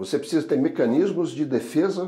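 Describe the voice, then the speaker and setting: Dark and mellow, a man's voice carries vocal fry and very wide pitch swings. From southern Brazil (Rio Grande do Sul, Pelotas). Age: 60s. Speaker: logistics association executive. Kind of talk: podcast interview.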